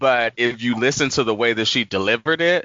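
A man with an American accent and a medium pitch speaks at a moderate pace in a normal speaking voice. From Washington DC. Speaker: podcast guest. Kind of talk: casual chat.

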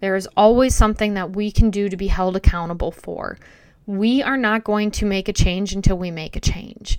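A woman with an unremarkable speaking voice talks at a moderate pace and medium pitch, her intonation fairly even but her loudness swinging widely. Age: 40s. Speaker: podcast host in addiction recovery. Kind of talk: solo podcast monologue.

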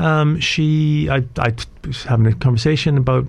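Noticeable background noise runs under a man whose pitch varies in an ordinary way. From Canada, Alberta. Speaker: IT specialist and entrepreneur. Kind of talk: radio interview. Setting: radio studio.

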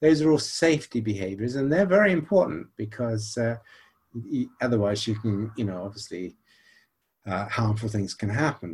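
On a very clean recording with a silent background, a man with an American accent speaks at a moderate pace in a somewhat breathy voice, with long, frequent pauses. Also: fairly low pitch for a man, lively intonation. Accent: British English with slight American twang. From Nigeria. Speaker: psychology professor. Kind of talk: interview.

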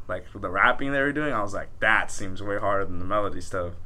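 Audible room echo surrounds a man's bright, sharp tone. He speaks at a very fast pace with fairly even intonation. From Southern California, Pico Rivera. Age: 20s. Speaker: rapper. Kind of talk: casual interview chat.

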